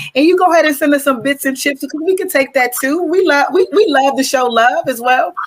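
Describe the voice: The woman's voice has a fairly bright tone.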